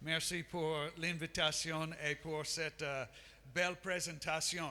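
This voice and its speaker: Slowly, very slowly, a man speaks at a fairly high pitch in a bright, sharp tone with monotone, flat intonation. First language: English (speaking French). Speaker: missionary and Bible school professor. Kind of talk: sermon. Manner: halting, many hesitations.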